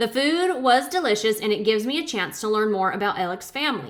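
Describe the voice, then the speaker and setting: A woman moves at a fairly quick pace, her intonation lively throughout. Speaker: channel host reading her grandmother's journals. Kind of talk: casual chat. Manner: uneven volume, loud then quiet. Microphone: laptop mic, no external microphone.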